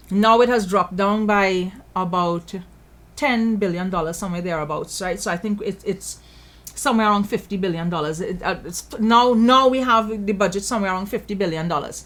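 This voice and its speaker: On a very clean recording with a silent background, a woman with a Trinidadian accent talks at a fairly quick pace in an animated tone with ordinary pitch variation. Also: medium pitch for a woman. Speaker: political commentator. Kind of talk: commentary show monologue.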